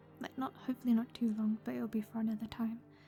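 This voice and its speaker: Music plays behind a soft-spoken woman with a high pitch. Her intonation stays monotone and flat. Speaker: ASMR gaming streamer. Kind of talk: casual gameplay commentary.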